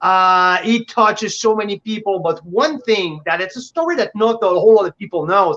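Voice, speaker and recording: Someone speaks at a moderate pace with a French accent. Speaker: winery representative. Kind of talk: casual chat.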